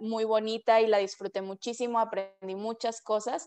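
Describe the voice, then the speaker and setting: Over a quiet background, a woman with an unremarkable speaking voice talks at a moderate pace and a fairly high pitch. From Mexico, Culiacán, Sinaloa; Sinaloa, Mexico. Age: 20s. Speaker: PhD student, scientist; interviewee. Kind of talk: interview. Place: home room. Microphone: video call.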